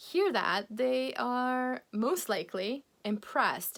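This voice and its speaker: A woman speaks with a Polish accent. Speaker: English teacher. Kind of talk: video lesson. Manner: animated.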